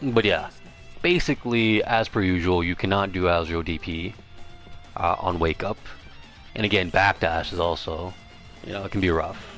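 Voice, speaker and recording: With music in the background, a man speaks at a very deep, low pitch and a moderate pace. His intonation is fairly even, broken by long, frequent pauses. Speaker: fighting game player. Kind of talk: livestream game strategy lecture. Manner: casual, rambling.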